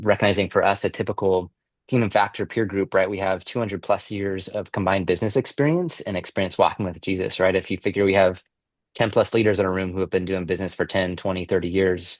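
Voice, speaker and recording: A man with a very deep, low pitch speaks at a very fast pace with fairly even intonation. The sound is dry and close with no echo, over a quiet background. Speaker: peer-group facilitator and business coach. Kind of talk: online informational presentation. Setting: live online session, also recorded. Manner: casual, many filler words.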